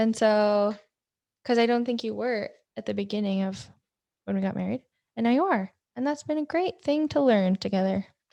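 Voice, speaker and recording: Pausing long and often, a woman with a fairly high pitch and a dark, mellow tone talks at a moderate pace, her pitch varying in an ordinary way. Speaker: nurse. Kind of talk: casual chat. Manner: loud.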